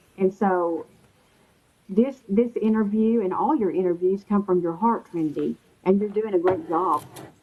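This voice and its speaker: A woman's medium-pitched voice with a Texan accent. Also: ordinary pitch variation, moderate pace. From Texas. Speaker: interview guest. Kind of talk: casual chat.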